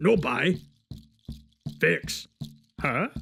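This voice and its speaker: A man does a put-on character voice at a fairly high pitch. Faint music plays in the background. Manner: broken, clipped speech.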